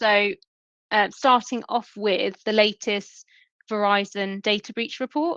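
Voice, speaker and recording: Against a quiet background, a woman with a British accent talks at a fairly slow pace. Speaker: email security sales lead. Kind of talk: webinar presentation.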